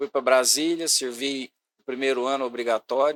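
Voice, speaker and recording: A man's medium-pitched voice at a fairly slow pace, with ordinary pitch variation and a dry, close sound with no echo. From Goiás, Brazil (Goiânia area). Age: 60s. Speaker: sports and youth secretary. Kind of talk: podcast interview, life story.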